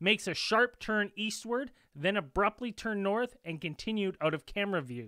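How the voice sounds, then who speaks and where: A man talks in a raised, projected voice with a bright, sharp tone at a moderate pace. The sound is dry with no echo, and the background is quiet. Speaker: podcast host presenting the video. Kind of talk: podcast commentary, reading a submission. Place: home room.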